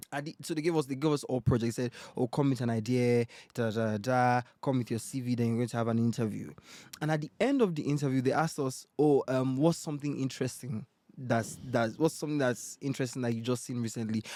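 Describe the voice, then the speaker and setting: A man's medium-pitched voice with a dark, mellow tone at a very fast pace. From Nigeria. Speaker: presenter and content creator. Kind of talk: casual podcast chat. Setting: podcast recording over drinks. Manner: animated.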